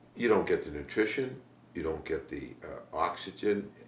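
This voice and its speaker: A man speaks at a moderate pace. Audible room echo surrounds his voice. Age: 70s. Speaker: client sharing health experience. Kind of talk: casual interview.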